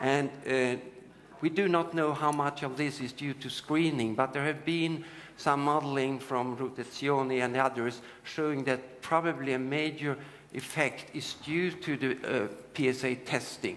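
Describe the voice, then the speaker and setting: Speaking in a Swedish accent at a moderate pace, a man with a fairly high pitch keeps fairly even intonation amid audible room echo. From Sweden. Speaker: urologist and screening researcher. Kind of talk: conference lecture. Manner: halting, with many fillers.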